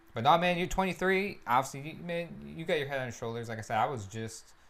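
With audible room echo in the space, a man speaks at a moderate pace. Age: 20s. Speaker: podcast host. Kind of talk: casual interview chat.

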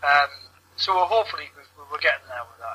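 Noticeable background noise runs beneath a man speaking with a British accent. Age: 30s. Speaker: wrestling gaming venue founder. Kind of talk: casual chat. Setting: online call.

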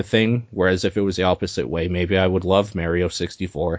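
This man speaks with fairly even intonation. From Canada. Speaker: podcast co-host. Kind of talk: casual chat.

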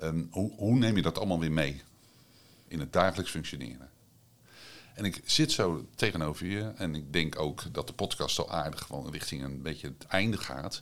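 The speech moves at a moderate pace with vocal fry. Its pitch varies in an ordinary way. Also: man, very deep, low pitch for a man. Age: middle-aged. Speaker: podcast host and psychiatric nurse. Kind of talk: interview conversation. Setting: on location at an institution.

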